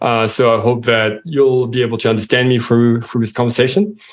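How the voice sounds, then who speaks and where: A man speaks with a French accent. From France. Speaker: software company co-founder and CEO. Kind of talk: interview.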